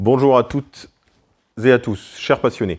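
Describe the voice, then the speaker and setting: A man talks at a fairly quick pace in a plain, everyday voice. The background is quiet. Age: 40s. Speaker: hunting federation president. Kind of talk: prepared speech. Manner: formal.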